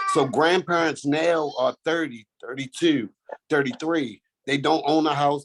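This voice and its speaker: Over background music, a man with an American accent talks at a moderate pace with a fairly high pitch and ordinary pitch variation, in a dry, close sound with no echo. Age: 30s. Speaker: youth mentoring program founder. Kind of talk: self-introduction in online workshop. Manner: halting, filler-heavy.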